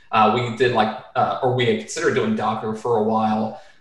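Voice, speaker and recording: A man at a moderate pace, with audible room echo and noticeable background noise. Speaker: computer vision educator and entrepreneur. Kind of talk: podcast interview. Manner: casual, with many fillers.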